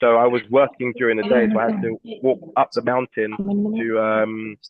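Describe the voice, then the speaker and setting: With a British accent, a man of medium pitch speaks at a moderate pace with fairly even intonation. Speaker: entrepreneur and recruitment expert, former footballer. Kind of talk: webinar Q&A interview. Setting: online webinar.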